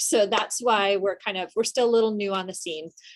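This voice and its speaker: A woman speaks at a medium pitch with ordinary pitch variation, in a plain, everyday voice. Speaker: journal editor and workshop presenter. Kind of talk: workshop presentation. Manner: casual with many filler ums.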